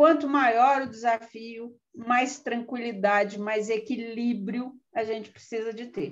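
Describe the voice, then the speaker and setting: This woman talks very slowly in a fairly high voice. Her loudness swings a lot. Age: 60s. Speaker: pension fund board candidate. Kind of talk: live stream panel talk. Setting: online live stream. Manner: hesitant, many fillers.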